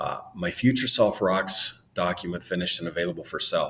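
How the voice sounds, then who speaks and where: A man talks at a fairly quick pace with fairly even intonation. Noticeable background noise can be heard. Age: 50s. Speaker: real estate broker turned content creator. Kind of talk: casual vlog monologue. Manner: halting, with fillers and repeated words.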